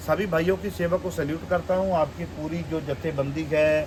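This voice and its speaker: Noticeable background noise sits behind a man whose voice is fairly high. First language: Punjabi (speaking Hindi). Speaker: preacher and video reporter. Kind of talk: field interview and address to viewers.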